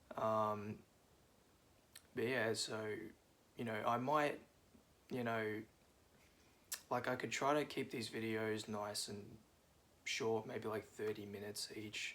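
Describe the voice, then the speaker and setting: Speaking very slowly with long, frequent pauses, a man holds a medium pitch and a monotone, flat intonation. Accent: Australian. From Australia, Melbourne. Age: 20s. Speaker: vlogger. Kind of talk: casual monologue vlog. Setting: at home, seated on cushions. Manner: hesitant, many fillers.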